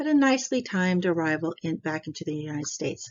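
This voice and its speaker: A woman with an American accent has an ordinary speaking voice at a medium pitch. She uses lively intonation at a moderate pace. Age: 60s. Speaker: travel vlogger. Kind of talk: tutorial. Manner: casual, with many fillers.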